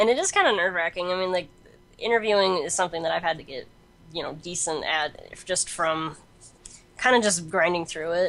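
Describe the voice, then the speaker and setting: Moving at a fairly quick pace, this is an unremarkable speaking voice. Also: woman, fairly low pitch for a woman, ordinary pitch variation. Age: 20s. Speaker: freelance games and comics journalist. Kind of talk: casual interview.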